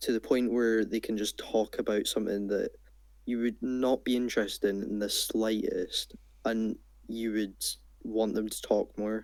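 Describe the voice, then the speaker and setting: A man speaks in a Scottish accent. His pace is moderate. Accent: Scottish, clear. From Scotland. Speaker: small gaming youtuber. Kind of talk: casual chat. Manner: well-spoken, clear.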